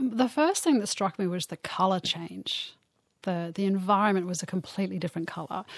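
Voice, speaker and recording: With an Australian accent, a woman speaks at a fairly quick pace and medium pitch, with ordinary pitch variation, on a very clean recording with a silent background. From Australia, Bathurst, country New South Wales. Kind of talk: interview.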